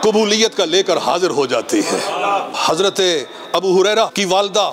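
Faint music sits in the background. A man speaks fairly slowly in a high-pitched voice. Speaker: religious preacher. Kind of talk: sermon. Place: hall. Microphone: podium.

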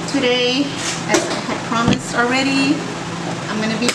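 Loud background noise surrounds a woman who speaks with ordinary pitch variation. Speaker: food challenge vlogger. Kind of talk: casual vlog chat. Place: home room. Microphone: camera far.

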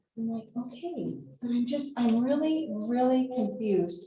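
A woman with an American accent, fairly high in pitch, at a fairly slow pace, with audible room echo. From California. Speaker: retired teacher and coach speaking at public comment. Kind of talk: public comment at school board meeting. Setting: school board meeting room. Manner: halting.

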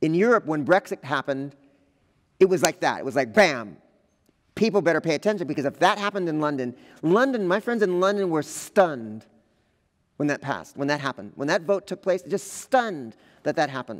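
A man speaks at a fairly quick pace with a fairly high pitch and very wide pitch swings. Long, frequent pauses break up his speech against a quiet background. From Los Angeles, US. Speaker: visual artist; visiting artist lecturer. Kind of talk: artist lecture. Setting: lecture hall with audience. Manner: halting, many fillers. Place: hall. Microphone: headset.

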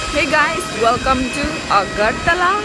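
A woman speaks at a fairly slow pace. Clear music plays in the background, and the sound is dry with no echo. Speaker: travel vlogger. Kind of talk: casual vlog chat. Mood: cheerful, playful. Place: street. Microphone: phone near.

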